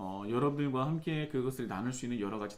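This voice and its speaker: The intonation is lively, and some room echo can be heard. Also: man. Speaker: pastor. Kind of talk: church announcements. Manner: fast; hesitant fillers.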